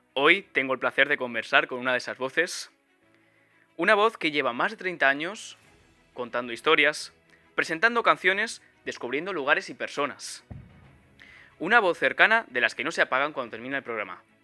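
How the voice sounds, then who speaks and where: A man's fairly high voice at a fairly quick pace, with very wide pitch swings, long, frequent pauses and music in the background. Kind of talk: scripted podcast intro narration.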